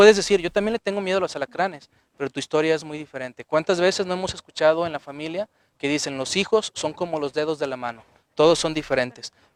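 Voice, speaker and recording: A man at a very fast pace in a dry, close sound with no echo. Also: fairly high pitch for a man, ordinary pitch variation. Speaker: psychologist and author giving a lecture. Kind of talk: lecture.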